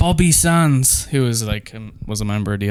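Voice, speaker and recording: In an Irish accent, a man talks at a fairly quick pace. His intonation is lively. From Ireland. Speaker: drummer in a band. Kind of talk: casual chat. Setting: in bed at home.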